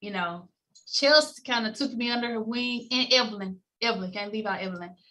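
A woman's bright, sharp voice with an American accent, fairly high in pitch, with ordinary pitch variation. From Memphis, Tennessee; Tennessee. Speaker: former Olympic bobsledder, insurance agency executive; podcast guest. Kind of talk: podcast interview. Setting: remote call. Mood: warm, smiling. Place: home room. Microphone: video call.

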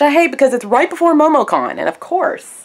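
A woman speaks at a high pitch and a fairly quick pace, her voice making big pitch swings.

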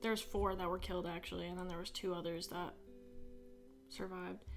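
The voice belongs to a woman. Faint music sounds in the background. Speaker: podcast host. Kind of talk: casual podcast chat. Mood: serious, somewhat uneasy. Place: home room. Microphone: studio mic.

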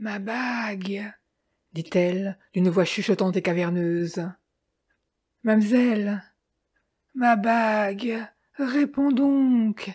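In a very clean recording with a silent background, a woman speaks at a very slow pace with long, frequent pauses. Her medium-pitched voice is somewhat breathy, with ordinary pitch variation. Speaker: audiobook reader. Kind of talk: ghost story telling, read aloud.

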